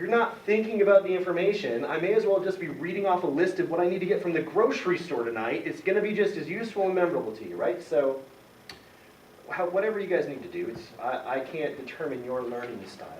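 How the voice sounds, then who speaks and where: Noticeable background noise and audible room echo surround the recording. A man talks very fast in a high pitch with lively intonation. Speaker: college chemistry instructor. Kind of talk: lecture.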